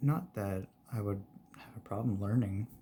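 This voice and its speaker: A soft-spoken man with a fairly low pitch, relaxed tone, fairly even intonation and fairly slow pace. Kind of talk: ASMR soft-spoken ramble. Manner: soft-spoken, relaxed.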